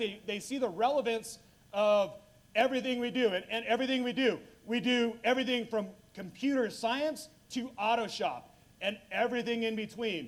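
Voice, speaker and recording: An animated man's voice, extremely high in pitch, with ordinary pitch variation. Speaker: school district career and technical education director. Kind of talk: panel discussion.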